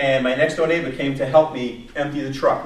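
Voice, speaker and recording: Delivered fairly quickly with a New York accent, the speech carries audible room echo and noticeable background noise. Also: man. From New York, Long Island. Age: 50s. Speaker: career coach presenter. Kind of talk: workshop presentation. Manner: animated.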